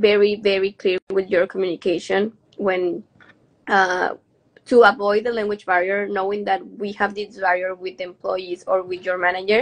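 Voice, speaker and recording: A woman with a Mexican accent at medium pitch and a moderate pace, in a dry, close sound with no echo. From Mexico. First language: Spanish. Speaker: hotel manager. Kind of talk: interview.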